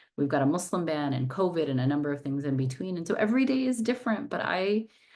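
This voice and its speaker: Speaking at a very fast pace with a Californian accent, the voice moves through very wide pitch swings. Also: woman, fairly low pitch for a woman. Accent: General American, Californian. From Southern California, Los Angeles. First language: not English. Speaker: civil rights lawyer, nonprofit director. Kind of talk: interview. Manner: talkative.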